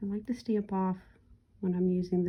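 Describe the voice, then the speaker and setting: At a moderate pace, a woman speaks in a medium pitch with a dark, mellow tone, somewhat breathy and with fairly even intonation. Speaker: crafting instructor. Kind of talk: tutorial. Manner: casual, chatty.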